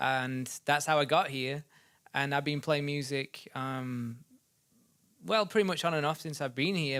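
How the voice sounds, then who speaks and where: Speaking with an English accent, a man uses a fairly high pitch and fairly even intonation at a moderate pace. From Sheffield, Yorkshire, northern England. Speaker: musician. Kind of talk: casual interview.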